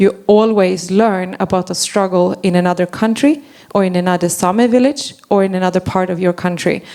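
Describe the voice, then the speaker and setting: A woman with a non-native accent speaks at a medium pitch. Her pace is moderate and her intonation fairly even. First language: not English. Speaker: forest policy advocate. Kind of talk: panel discussion.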